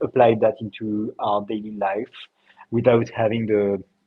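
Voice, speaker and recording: A man with a French accent and a medium pitch speaks at a moderate pace. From France, Paris. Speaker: health startup co-founder. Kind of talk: interview.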